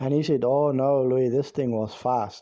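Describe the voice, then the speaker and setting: Over a quiet background, a man with a South African accent speaks at a medium pitch with a dark, mellow tone. His pace is moderate and his intonation fairly even. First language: Afrikaans. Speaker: YouTube storyteller. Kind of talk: storytelling. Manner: halting.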